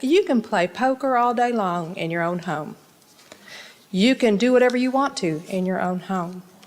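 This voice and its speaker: With an American accent, a woman speaks at a medium pitch and a moderate pace. Her pitch varies in an ordinary way. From Texas, Dallas area. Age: 60s. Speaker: local resident speaking at city council. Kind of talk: public comment speech.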